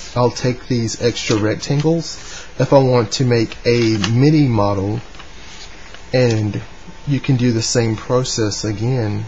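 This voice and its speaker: A man with a Southern US accent talks at a fairly slow pace with fairly even intonation and long, frequent pauses, over noticeable background noise. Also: medium pitch for a man. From North Carolina, US. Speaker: origami hobbyist. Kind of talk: tutorial talk to camera. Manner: hesitant, casual.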